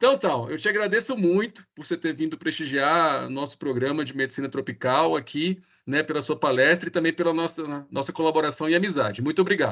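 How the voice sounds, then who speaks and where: A man speaks at a fairly quick pace in a fairly high pitch, with hardly any pauses and ordinary pitch variation. It is a normal speaking voice against a quiet background. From Brazil. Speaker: researcher. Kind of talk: speaker introduction.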